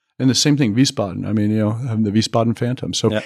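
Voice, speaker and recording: Speaking with a Mid-Atlantic accent, a man goes at a very fast pace with ordinary pitch variation. The recording is very clean, with a silent background. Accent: American, Mid-Atlantic. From Washington, D.C. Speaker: diplomat. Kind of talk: interview.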